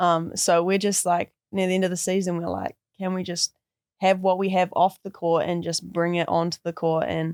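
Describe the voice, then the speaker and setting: A woman with a New Zealand accent talks at a moderate pace in a fairly low, monotone voice with flat intonation, the sound dry and close with no echo. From New Zealand, Christchurch. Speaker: college basketball player. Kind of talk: casual interview.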